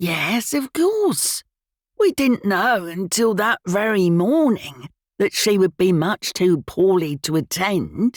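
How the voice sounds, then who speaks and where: A female-sounding voice puts on a character voice at middle pitch and a fairly slow pace. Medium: read story. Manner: morose, curt.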